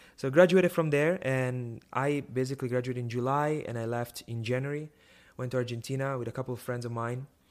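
A man with an Italian accent talks at a fairly quick pace with a medium pitch and fairly even intonation. The recording is very clean with a silent background. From northern Italy (Milan). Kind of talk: testimony. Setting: live video stream.

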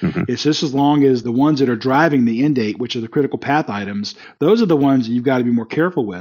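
A very fast delivery in a slight Southern US accent, with hardly any pauses and ordinary pitch variation. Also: man, medium pitch for a man. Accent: barely noticeable Southern. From US South, South Carolina. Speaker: company CEO, project management expert. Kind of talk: interview. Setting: call.

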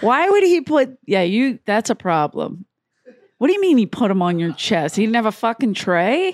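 With a Philadelphia accent, a woman speaks at a fairly high pitch with very wide pitch swings. Her loudness stays very even, and her pace is moderate. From US Northeast, South Philadelphia. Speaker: comedian. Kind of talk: casual chat.

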